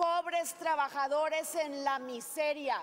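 Light background noise sits behind a woman speaking in a high pitch at a very slow pace. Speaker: senator in debate. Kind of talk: heated parliamentary speech. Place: hall. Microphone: podium.

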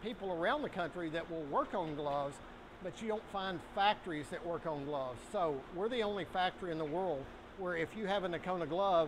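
A man talks at a high pitch and a fairly quick pace, with ordinary pitch variation. Noticeable background noise runs behind him. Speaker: factory owner giving tour. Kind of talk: tour guide explanation. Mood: proud, good-humored. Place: factory. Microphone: lapel.

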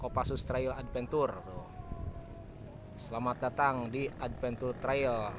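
Over clear music in the background, a man speaks at a moderate pace. His intonation is fairly even, and the sound is dry with no echo. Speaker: trail rider vlogger. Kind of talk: casual vlog chat. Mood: cheerful, joking. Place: open country. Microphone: phone near.

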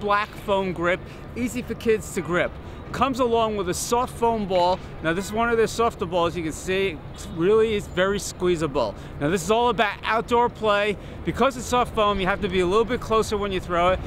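The speech moves at a fairly quick pace with ordinary pitch variation, dry with no echo, over noticeable background noise. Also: man, high pitch for a man. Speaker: toy reviewer. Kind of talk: product review presentation. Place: open country.

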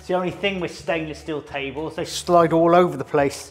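Faint music plays behind a man whose pitch is high, his pace moderate and his intonation fairly even. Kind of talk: tutorial. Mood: relaxed and chatty. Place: kitchen.

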